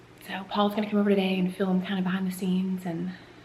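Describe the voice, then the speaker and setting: A woman talks at a fairly quick pace in a medium pitch with monotone, flat intonation. Noticeable background noise and audible room echo come through. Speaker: family vlogger. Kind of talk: casual vlog talk. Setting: at home.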